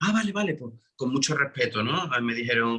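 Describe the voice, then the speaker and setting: Fairly quick speech from a man with an Andalusian accent and a bright, sharp tone. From Andalusia, Spain. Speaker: musical theatre actor. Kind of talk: interview.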